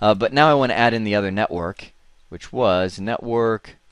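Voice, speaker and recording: A man speaks with a fairly low pitch and ordinary pitch variation. The background is quiet. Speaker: networking instructor. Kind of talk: tutorial. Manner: fast; casual, conversational.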